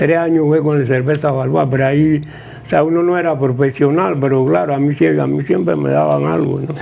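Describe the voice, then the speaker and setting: A man talks at a fairly quick pace with lively intonation. There is noticeable background noise and audible room echo. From Panama. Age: 90s. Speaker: retired basketball player. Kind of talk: interview. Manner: halting.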